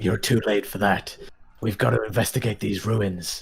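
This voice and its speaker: A man puts on a raspy character voice, fairly low in pitch, at a moderate pace. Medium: actual play. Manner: matter-of-fact.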